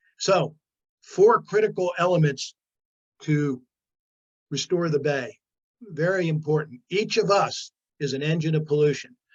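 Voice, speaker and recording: A man with a fairly high pitch and ordinary pitch variation speaks with long, frequent pauses. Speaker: former politician and environmental speaker. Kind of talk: lecture. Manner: fast.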